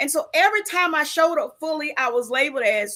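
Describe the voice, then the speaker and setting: This woman speaks loudly in a high, bright, sharp voice with an animated tone. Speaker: live show co-host and coach. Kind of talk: live show talk, personal testimony.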